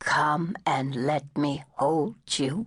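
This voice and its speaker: This put-on character voice growls at a low-to-middle pitch. It is soft-spoken. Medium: read story. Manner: soft, gentle.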